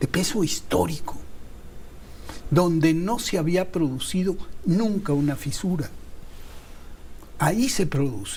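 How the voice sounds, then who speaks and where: In a room with audible echo, a man with a high pitch and lively intonation talks at a fairly slow pace, with long, frequent pauses. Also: very even loudness. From Mexico. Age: 70s. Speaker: TV producer and political commentator. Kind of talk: heated debate.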